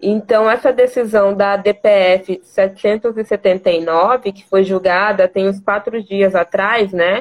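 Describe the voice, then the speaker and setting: Very slow yet with hardly any pauses, a woman speaks with fairly even intonation and big swings in loudness, in a dry, close sound with no echo. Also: medium pitch for a woman. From Mato Grosso, Brazil. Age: 20s. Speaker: lawyer. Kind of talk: interview.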